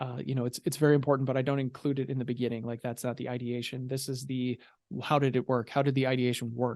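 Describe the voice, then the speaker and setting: Here a man talks very fast at a medium pitch in a monotone, flat intonation. The background is quiet. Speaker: podcast host and cosplay content creator. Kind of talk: solo talk about content creation.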